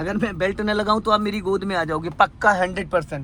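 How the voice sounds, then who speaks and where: Raising and projecting his voice, a man speaks with a high pitch and a bright, sharp tone. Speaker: driving instructor. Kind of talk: in-car driving lesson. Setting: in a car. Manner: stern, scolding.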